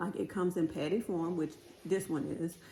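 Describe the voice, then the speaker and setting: Noticeable background noise sits behind this woman's voice. She talks at a fairly quick pace with a fairly low pitch. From New Orleans, Louisiana. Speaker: cooking channel host. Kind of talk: cooking tutorial, casual chat. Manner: casual, chatty with fillers.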